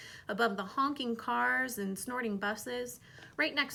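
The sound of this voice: The recording presents an unforced reading voice. That is all there is to it.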